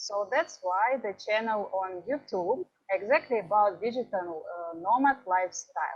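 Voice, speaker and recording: This woman talks at a fairly slow pace with a Ukrainian accent. Her fairly high voice carries lively intonation. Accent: Ukrainian-Russian accented English. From Ukraine. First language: Russian. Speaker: travel vlogger. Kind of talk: conference talk. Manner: halting.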